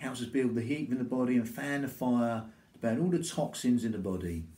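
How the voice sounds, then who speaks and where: A man's dark, mellow tone comes through at a moderate pace. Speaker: qigong instructor. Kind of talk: exercise class instruction. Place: home room. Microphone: camera far.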